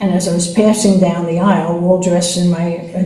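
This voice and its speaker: With noticeable background noise and audible room echo, a woman speaks in a medium pitch. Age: 80s+. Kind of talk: interview, personal testimony. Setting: podcast interview. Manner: halting, with many fillers and restarts.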